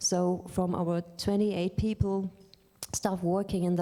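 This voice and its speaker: A woman speaks with a German accent at a fairly low pitch. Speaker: librarian. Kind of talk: lecture. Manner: halting.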